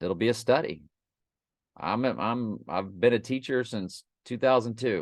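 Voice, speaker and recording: The background is quiet. The speech moves at a fairly slow pace. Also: man. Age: 60s. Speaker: teacher. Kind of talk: casual monologue. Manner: animated.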